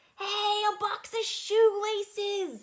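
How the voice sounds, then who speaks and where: Squeaky and extremely high-pitched, a woman's put-on character voice stays monotone and flat. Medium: read story. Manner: eager, enthusiastic.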